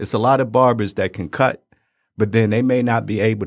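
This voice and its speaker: Speaking at a moderate pace, a man with a fairly low pitch comes through on a very clean recording with a silent background. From Detroit. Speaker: barber. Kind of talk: casual chat. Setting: studio.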